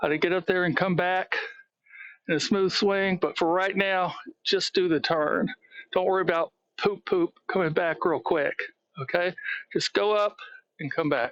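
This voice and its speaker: Long pauses break up the speech often. Otherwise it keeps a moderate pace. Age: 60s. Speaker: golf instructor. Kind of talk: tutorial. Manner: counting repetitions, paced.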